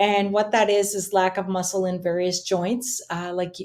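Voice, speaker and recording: This woman, with a Canadian Maritime accent, talks at a moderate pace with medium pitch and ordinary pitch variation. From Nova Scotia, Canada. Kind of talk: interview.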